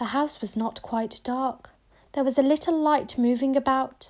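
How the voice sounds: A woman's high, slightly mellow voice at a fairly slow pace, with ordinary pitch variation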